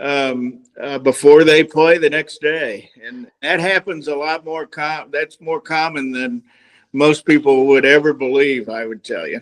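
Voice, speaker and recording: A man talks in a normal speaking voice at a fairly slow pace, with ordinary pitch variation and big swings in loudness. The recording is very clean and dry, with a close sound, no echo and a silent background. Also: fairly high pitch for a man. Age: 60s. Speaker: golf instructor. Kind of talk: casual chat.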